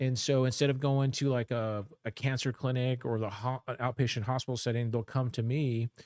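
On a very clean recording with a silent background, a man speaks in a monotone, flat intonation with hardly any pauses, the sound dry and close with no echo. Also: medium pitch for a man, fairly quick pace. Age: 50s. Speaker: healthcare worker. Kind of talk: casual chat. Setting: studio. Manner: halting.

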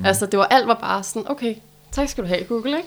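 Her fairly high voice moving with ordinary pitch variation, a woman speaks at a very fast pace. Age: 30s. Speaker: debut author. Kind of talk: casual interview.

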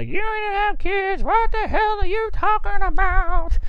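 A put-on character voice, female-sounding and extremely high-pitched, moves at a fairly slow pace. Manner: incredulous, scolding.

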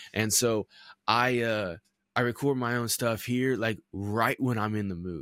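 A man with a medium-pitched voice and ordinary pitch variation, an unremarkable speaking voice. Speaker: podcast host and marketing manager. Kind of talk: casual podcast interview. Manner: casual, conversational.

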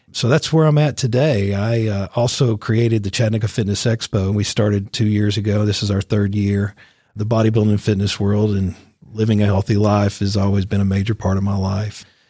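A fairly low, dark and mellow male voice with a Tennessee accent, somewhat breathy, at a fairly quick pace with fairly even intonation, on a very clean recording with a silent background. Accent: Southern US (Tennessee). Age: 50s. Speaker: radio host and media business owner. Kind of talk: casual interview.

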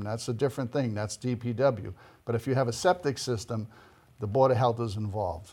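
Somewhat breathy and fairly quick, this man speaks with an American accent. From Boston area, Massachusetts. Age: 60s. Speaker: local election candidate. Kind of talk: interview.

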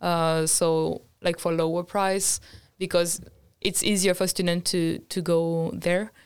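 A woman with a French accent speaks very slowly at a fairly low pitch, her intonation flat and monotone and her loudness very even. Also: very clean recording, silent background. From France. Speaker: design student. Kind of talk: casual chat.

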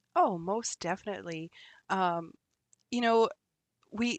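Against a quiet background, a woman speaks in a medium pitch with a dry, close sound and no echo. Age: 50s. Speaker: women's coach and magazine founder. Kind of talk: interview. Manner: halting.

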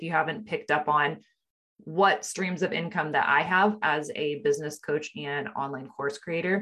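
Her tone upbeat and animated, a woman speaks at a moderate pace with lively intonation. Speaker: podcast host and business coach. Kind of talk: online training workshop with pep-talk delivery. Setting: video training session. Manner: upbeat, encouraging, animated; conversational and direct.

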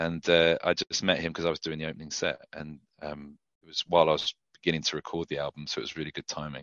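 In a British accent, a man with a very deep, low voice speaks very fast in a monotone, flat way. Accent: UK. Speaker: country singer-songwriter. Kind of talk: casual interview chat.

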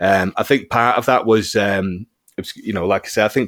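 A man's fairly low voice at a fairly quick pace. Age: 40s. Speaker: UFO witness. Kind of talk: interview. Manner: halting.

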